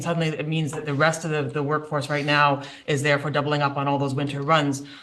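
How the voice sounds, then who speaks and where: With audible room echo and noticeable background noise, a man rattles along at a very fast pace in a fairly high, monotone, flat voice. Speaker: municipal staff presenter. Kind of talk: budget presentation. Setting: council meeting.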